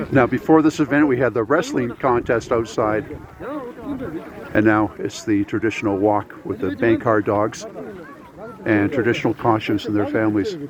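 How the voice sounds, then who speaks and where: With a Canadian accent, a man speaks at a moderate pace and medium pitch with ordinary pitch variation, leaving long, frequent pauses over noticeable background noise. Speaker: travel vlogger. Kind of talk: on-location vlog commentary. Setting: outdoors in freezing cold. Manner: mumbling.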